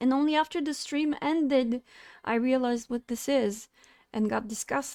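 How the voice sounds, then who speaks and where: A woman with a non-native accent speaks at a moderate pace in a high pitch. Her pitch variation is ordinary, and the sound is dry and close with no echo. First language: not English. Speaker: streamer. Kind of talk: monologue to camera. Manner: halting.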